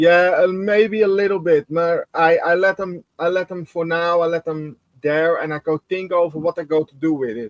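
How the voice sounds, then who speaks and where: A man with a non-native accent speaks in a high voice with fairly even intonation. At a moderate pace with hardly any pauses, the sound is dry and close with no echo. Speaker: scale modeller. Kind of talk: casual chat. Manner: halting.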